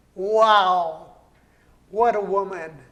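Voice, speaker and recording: Amid audible room echo, a man with an American accent speaks at a high pitch with fairly even intonation. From Colorado, Brighton area. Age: 80s+. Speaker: poet and entrepreneur. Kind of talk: interview.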